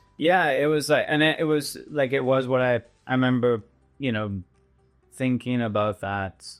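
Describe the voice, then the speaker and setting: A man with a Western Canadian accent, medium in pitch, at a moderate pace with ordinary pitch variation, over music in the background. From Canada, British Columbia. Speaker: winery owner and winemaker. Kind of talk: podcast interview answer. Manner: casual, hesitant.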